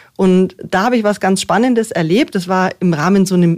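A woman with a plain, everyday voice speaks at a moderate pace with lively intonation, recorded very cleanly against a silent background. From Munich (Aubing), Bavaria. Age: 40s. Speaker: politician, mayoral candidate. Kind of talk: radio interview. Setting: studio.

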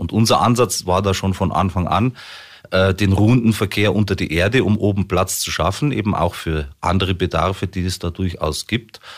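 A man's very deep, low voice keeps a moderate pace and ordinary pitch variation. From Munich, Bavaria. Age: 40s. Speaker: local politician and business owner. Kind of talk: radio interview. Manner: hesitant, frequent fillers.

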